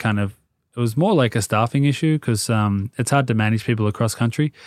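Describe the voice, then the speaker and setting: A man talks at a fairly quick pace and medium pitch, his intonation fairly even. The sound is dry and close, with no echo. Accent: Australian. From Sydney, Australia. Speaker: hat and clothing brand founder. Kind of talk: casual interview chat.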